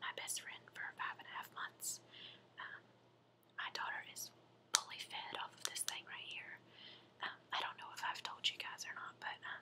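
Whispering and soft-spoken, a woman talks at a moderate pace with long, frequent pauses over noticeable background noise. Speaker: mother reviewing product. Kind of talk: casual vlog chat. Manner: soft whispered show-and-tell voice. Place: home room. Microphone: webcam.

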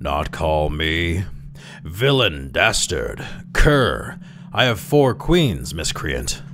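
A man uses a put-on character voice, extremely low in pitch with a fairly bright tone and big pitch swings. He goes at a very slow pace over faint background noise.

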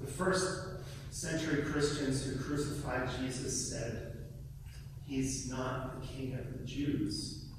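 Someone speaks at a very slow pace amid strong room echo and noticeable background noise. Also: man. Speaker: guest preacher. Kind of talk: sermon delivered to a congregation. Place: church.

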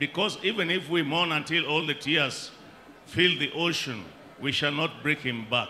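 A man in a Kenyan accent talks at a moderate pace with very even loudness and ordinary pitch variation, over light background noise. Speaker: bereaved family member. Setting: outdoor funeral gathering with crowd and PA system. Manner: wry and folksy, dropping jokes and proverbs into grief; halting, with frequent uh and um fillers. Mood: solemn, reflective. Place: tent. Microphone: handheld.

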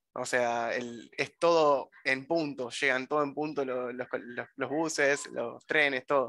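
Against a quiet background, with a dry sound and no echo, a man speaks at a fairly slow pace in a fairly high pitch, his bright, sharp tone held to a monotone, flat intonation. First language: Spanish (speaking Italian). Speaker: language student; language teacher. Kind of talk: online language class. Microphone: webcam.

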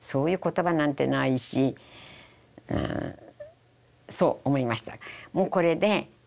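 A woman with a very deep, low pitch and a Hiroshima accent speaks at a fairly slow pace with vocal fry, ordinary pitch variation and long, frequent pauses. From Japan, Hiroshima; Japan. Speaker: atomic bomb survivor. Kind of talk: testimony. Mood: solemn, reflective. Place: studio. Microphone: lapel.

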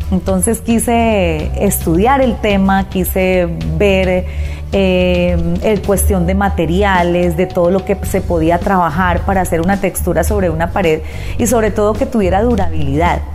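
A woman talks at a fairly slow pace with clear music in the background. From Colombia. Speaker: radio announcer and artist. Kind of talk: interview answer. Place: home room. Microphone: lapel.

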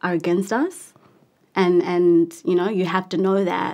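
At a fairly slow pace, a woman with a New Zealand accent speaks in a fairly low pitch. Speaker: actress and musician. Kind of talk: interview. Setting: studio.

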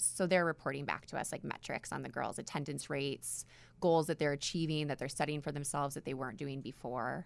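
This woman's voice sits very deep and low, with vocal fry. She talks at a fairly quick pace with ordinary pitch variation. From New York. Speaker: nonprofit executive director. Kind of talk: radio interview. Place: studio. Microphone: studio mic.

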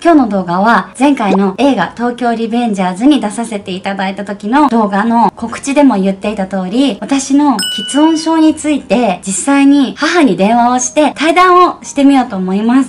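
Over light background noise, a woman with a fairly high pitch and lively intonation speaks at a moderate pace with hardly any pauses. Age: 30s. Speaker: actress. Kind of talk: casual talk to camera. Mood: warm, gentle, smiling. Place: home room. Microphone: phone near.

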